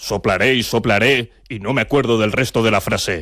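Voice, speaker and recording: Using a put-on character voice at medium pitch, a man talks at a moderate pace in a very clean recording with a silent background. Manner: playful, growly.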